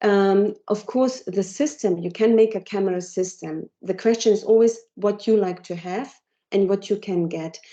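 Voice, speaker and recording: A woman with a German accent talks at a moderate pace. Her tone is dark and mellow, with ordinary pitch variation. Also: medium pitch for a woman. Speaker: technology company presenter. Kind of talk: Q&A after a presentation. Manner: halting. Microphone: cutting out.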